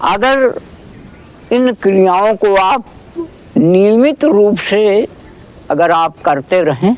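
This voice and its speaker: Speaking with lively intonation and a high pitch, a man leaves long, frequent pauses. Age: 70s. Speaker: elderly yoga practitioner. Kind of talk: casual chat.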